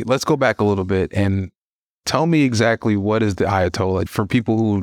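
A plain, everyday voice from a man, fairly low in pitch at a moderate pace, dry and close with no echo on a very clean recording with a silent background. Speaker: guest host of a podcast. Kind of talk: interview, podcast intro narration.

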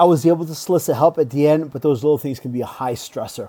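With a slight Rhode Island accent, a man talks at a very fast pace in a fairly high voice with a dark, mellow tone and ordinary pitch variation. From Rhode Island, US. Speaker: school assistant principal. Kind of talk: interview. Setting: video call.

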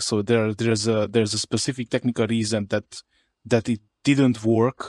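A man with a Hungarian accent at a moderate pace, dry and close with no echo, in a very clean recording with a silent background. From Romania, Harghita county (Hungarian-speaking). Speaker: indie developer, entrepreneur. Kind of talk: interview. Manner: repeats words, halting.

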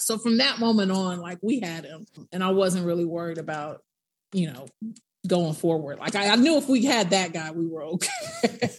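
A woman talks at a moderate pace in a plain, everyday voice with medium pitch. Her intonation is lively, and her loudness swings a lot. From Tallahassee, Florida. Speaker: personal injury lawyer and adjunct professor. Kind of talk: interview.

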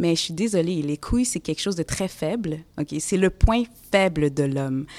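A woman speaks in a normal speaking voice at a moderate pace, fairly low in pitch with ordinary pitch variation. The sound is dry and close with no echo, a very clean recording with a silent background. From Quebec, Montreal (Côte-des-Neiges). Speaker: lawyer and social activist. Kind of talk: casual conversation during museum visit.

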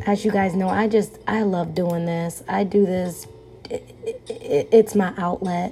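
A woman talks fairly slowly. Background noise can be clearly heard. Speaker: podcast host. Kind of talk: casual solo podcast monologue. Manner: casual, chatty, informal.

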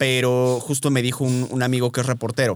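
At a moderate pace, a man speaks in a medium pitch with an ordinary speaking voice. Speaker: nutritionist and podcast host. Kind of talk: casual chat.

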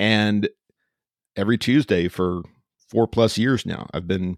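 A man speaks with an American accent in a normal speaking voice, fairly low in pitch with ordinary pitch variation. The recording is very clean, with a silent background and a dry, close sound with no echo. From Central Texas (Austin). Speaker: preacher. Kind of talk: casual interview chat.

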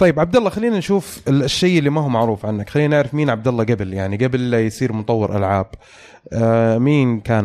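This man talks at a very fast pace. His pitch is medium, with ordinary pitch variation. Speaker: podcast host. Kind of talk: casual chat. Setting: studio.

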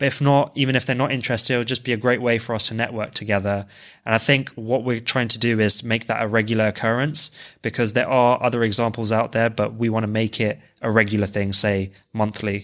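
Over a silent background in a very clean recording, a man with a London accent talks very fast at a medium pitch in a flat monotone. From West London, England. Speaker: co-founder, finance professional. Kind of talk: casual chat.

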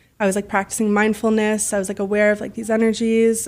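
A woman with a Canadian accent talks at a fairly quick pace in a monotone, flat intonation. The recording is very clean, with a silent background. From Canada, Ottawa. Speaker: lifestyle influencer. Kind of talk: interview.

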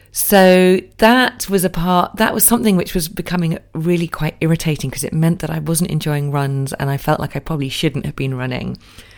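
Speaking at a fairly quick pace with hardly any pauses, a woman uses a fairly low pitch. Her pitch varies in an ordinary way. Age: 40s. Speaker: podcast host and wellness coach. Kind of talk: solo podcast monologue.

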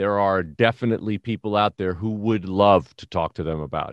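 In a dry, close recording with no echo and a quiet background, a man with an American accent talks at a moderate pace in a fairly low voice, fairly even in intonation, an unremarkable speaking voice. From New York City, the Bronx. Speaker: retired police detective. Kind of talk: interview storytelling.

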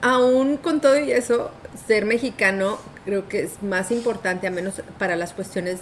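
A woman speaks with lively intonation, noticeable background noise present throughout. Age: 40s. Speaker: podcast co-host. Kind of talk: casual chat.

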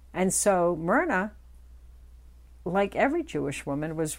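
A woman speaks with vocal fry at a moderate pace on a very clean recording with a silent background. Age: 60s. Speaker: podcast host and author. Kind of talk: storytelling.

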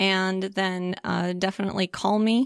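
At a moderate pace, a woman speaks in a plain, everyday voice, the sound dry and close with no echo. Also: quiet background. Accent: American. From US Midwest, St. Louis, Missouri. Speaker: neurofeedback practitioner. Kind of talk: interview.

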